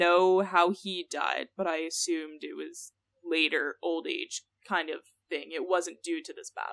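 On a very clean recording with a silent background and a dry, close sound free of echo, a woman speaks at a fairly slow pace with big swings in loudness. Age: 20s. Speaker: podcast co-host. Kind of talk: casual chat presenting research. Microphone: new mic.

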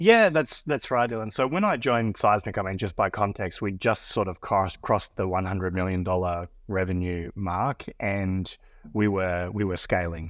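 Over a quiet background, a man speaks with a very deep, low pitch. His pace is moderate and his pitch variation ordinary. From Australia. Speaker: business executive. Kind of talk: casual interview chat. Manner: hesitant, filler-heavy.

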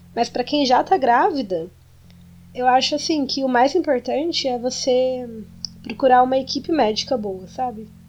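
A woman's high-pitched voice holds a moderate pace over noticeable background noise. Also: ordinary pitch variation. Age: 20s. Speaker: podcast co-host, expectant mother. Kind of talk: casual chat.

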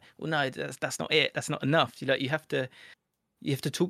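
With vocal fry and ordinary pitch variation, a man talks on a very clean recording with a silent background. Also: dry, close sound with no echo. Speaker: football YouTuber and presenter. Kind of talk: casual interview. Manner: articulate, clear.

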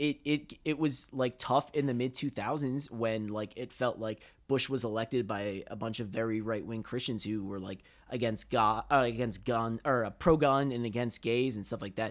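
A man speaks in a normal speaking voice at medium pitch and a moderate pace, his intonation fairly even, on a very clean recording with a silent background. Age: 30s. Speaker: TV sketch writer and producer. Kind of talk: casual chat.

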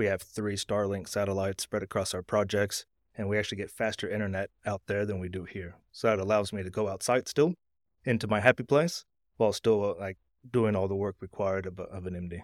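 In an American accent, a man with a plain, everyday voice speaks at a fairly low pitch and fairly quick pace with fairly even intonation. The sound is dry and close with no echo, on a very clean recording with a silent background. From Texas. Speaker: mining company managing director. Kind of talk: interview.

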